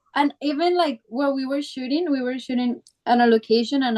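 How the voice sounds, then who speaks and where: This woman, with a Colombian accent, has a high voice and fairly even intonation at a moderate pace. The sound is dry and close, with no echo. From Colombia, Manizales. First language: Spanish. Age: 20s. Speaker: actress. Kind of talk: casual interview.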